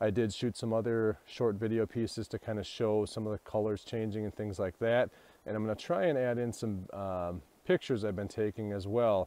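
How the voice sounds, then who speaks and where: This man's voice sits fairly low, with a dark, mellow tone. The sound is dry, with no echo. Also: ordinary pitch variation, fairly quick pace. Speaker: vlogger photographer. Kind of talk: casual vlog chat. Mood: reflective, slightly subdued. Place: forest. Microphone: earbuds.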